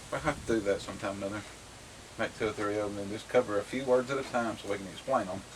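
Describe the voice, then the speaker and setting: Over noticeable background noise, a man with a Tennessee accent and a fairly low pitch talks at a very fast pace with fairly even intonation. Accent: Middle Tennessee Southern. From Middle Tennessee. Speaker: homestead vlogger. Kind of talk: casual chat. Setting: outdoors on front porch.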